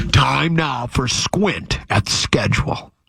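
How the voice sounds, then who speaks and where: A man puts on a character voice at a medium pitch and a fairly slow pace. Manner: booming, announcer-like.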